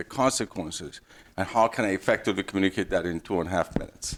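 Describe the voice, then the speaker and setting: A man with a fairly low pitch and a non-native accent, on a very clean recording with a silent background. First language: not English. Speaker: engineer, career panelist. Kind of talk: panel discussion. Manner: halting.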